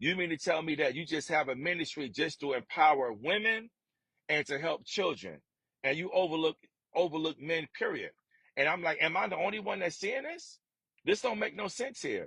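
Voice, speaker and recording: An animated man speaks at a moderate pace in a high pitch, with lively intonation and a bright, sharp tone. The sound is dry and close, with no echo. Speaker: podcast host. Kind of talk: monologue. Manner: stuttering, repetitive.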